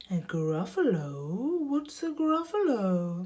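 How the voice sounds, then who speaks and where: A put-on, female-sounding character voice at a middle pitch, with very wide pitch swings and a very slow pace. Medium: read story.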